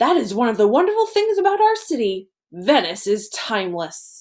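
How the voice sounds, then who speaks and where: Using a put-on character voice, a woman speaks at a moderate pace in a high pitch. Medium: read story. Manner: friendly, warm.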